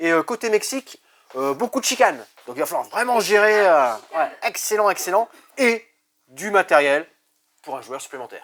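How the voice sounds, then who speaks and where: A man's high voice with an enthusiastic tone, very wide pitch swings and big swings in loudness, long, frequent pauses, dry and close with no echo. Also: moderate pace. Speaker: board game shop staff presenting games. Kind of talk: product presentation video. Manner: enthusiastic salesy.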